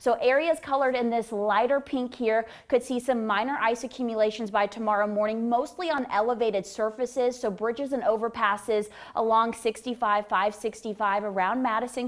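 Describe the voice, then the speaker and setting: Using a normal speaking voice, a woman talks at a fairly quick pace with hardly any pauses, a fairly high pitch and fairly even intonation. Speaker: meteorologist. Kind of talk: TV weather forecast.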